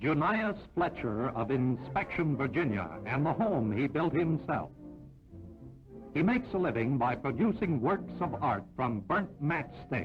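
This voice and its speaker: With music in the background, a man speaks at a fairly slow pace in a fairly high pitch, making very wide pitch swings while keeping his loudness very even. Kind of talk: 1940s newsreel narration. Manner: brisk, announcer-style.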